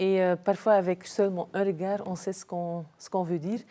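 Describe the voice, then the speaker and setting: A woman speaks at a moderate pace in a dark, mellow tone with a slight Flemish accent. The recording is very clean with a silent background. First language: Dutch (speaking French). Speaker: business executive. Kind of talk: interview. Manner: hesitant, many fillers.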